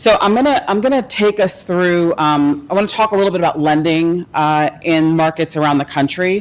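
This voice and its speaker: Over noticeable background noise, a woman with a fairly low pitch talks at a moderate pace with lively intonation. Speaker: panel presenter, housing finance expert. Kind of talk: conference presentation. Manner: loud.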